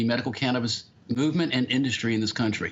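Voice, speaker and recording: A man with an American accent talks at a very fast pace. His pitch varies in an ordinary way. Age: 60s. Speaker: medical cannabis patient and advocate. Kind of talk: keynote speech. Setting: conference stage.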